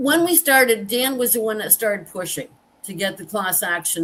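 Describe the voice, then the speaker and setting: Lively intonation from a woman, with noticeable background noise behind her. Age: 60s. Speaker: veteran and survivor advocate. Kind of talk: interview testimony. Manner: halting.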